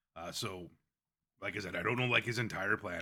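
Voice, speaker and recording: This is a raspy, put-on character voice. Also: man. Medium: actual play. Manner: casual, halting, filler-heavy.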